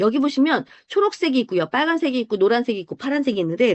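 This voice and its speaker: A woman at a very fast pace with very wide pitch swings, in a dry, close sound with no echo and a quiet background. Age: 50s. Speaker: health supplement group leader. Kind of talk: online group presentation. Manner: explanatory, with many fillers.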